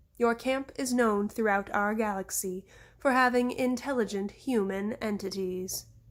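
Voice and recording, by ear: Someone reading aloud in a natural voice.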